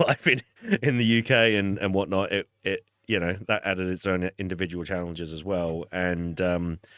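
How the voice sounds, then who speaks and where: With an Australian accent, a man of fairly low pitch speaks at a fairly quick pace with ordinary pitch variation. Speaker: podcast host. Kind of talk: casual chat. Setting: studio.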